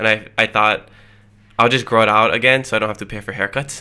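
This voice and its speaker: A man speaks with a Hawaiian accent. His pitch sits fairly low. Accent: Hawaii local English. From Hawaii, Hilo on the Big Island. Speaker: podcast host, guest. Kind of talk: casual podcast interview.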